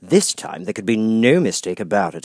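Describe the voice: A man speaks at a moderate pace in a fairly low pitch, his voice carrying a slightly husky edge and big pitch swings.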